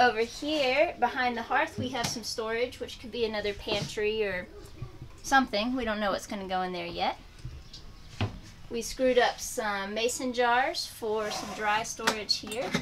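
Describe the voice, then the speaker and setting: Noticeable background noise under a woman talking at a moderate pace. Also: ordinary pitch variation. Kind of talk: casual vlog chat. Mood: cheerful, relaxed. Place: home room.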